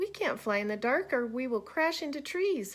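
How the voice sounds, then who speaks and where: A woman's put-on character voice, squeaky, high-pitched, raised and projected. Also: moderate pace. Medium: read story.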